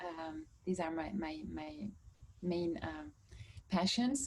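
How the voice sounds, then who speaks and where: With a strong French accent, a woman speaks very slowly in a fairly low, dark, mellow tone that is somewhat breathy. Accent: French, strong (own view). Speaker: course participant. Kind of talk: introduction in online class. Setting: video call. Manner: halting, many fillers and repeats.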